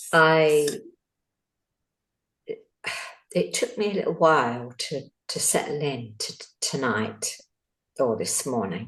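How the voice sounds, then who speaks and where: The voice is quiet and very slow. Long, frequent pauses break it up. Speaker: meditation participant. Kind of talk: sharing experience. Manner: quiet, hesitant.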